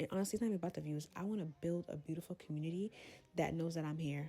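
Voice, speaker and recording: A woman talks at a very fast pace, her voice fairly low in pitch with a dark, mellow tone. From Brooklyn, New York. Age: 20s. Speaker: content creator. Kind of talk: casual talk to camera. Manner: candid, chatty.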